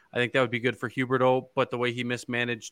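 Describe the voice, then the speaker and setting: With a Canadian accent, a man speaks at a medium pitch in a bright, sharp tone, recorded with a dry, close sound with no echo against a quiet background. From Ontario, Canada (Guelph). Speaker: hockey podcast co-host. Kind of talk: casual chat. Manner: hesitant, many fillers and repeated words.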